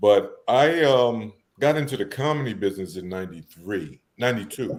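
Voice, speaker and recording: A man with a New York accent talks at a moderate pace and medium pitch. His voice moves in very wide pitch swings. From New York City (Harlem, Bronx). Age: 60s. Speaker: event promoter. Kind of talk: casual interview.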